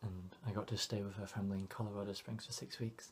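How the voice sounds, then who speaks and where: The voice is somewhat breathy with a dark, mellow tone. Its intonation stays monotone and flat. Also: man. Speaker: vlogger. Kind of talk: personal vlog monologue. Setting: home alone. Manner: quiet, not projecting.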